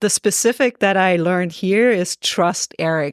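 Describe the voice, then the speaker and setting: A fairly slow delivery with a German accent, in a dry, close sound with no echo, on a very clean recording with a silent background. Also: woman. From Germany, Augsburg, Bavaria. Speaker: golf course architect. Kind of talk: podcast interview.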